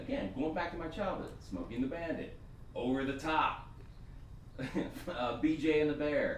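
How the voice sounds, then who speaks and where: Amid noticeable background noise and audible room echo, a man with an American accent speaks at a moderate pace. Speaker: screenwriter, Marine veteran. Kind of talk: panel discussion. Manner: halting, repeating words.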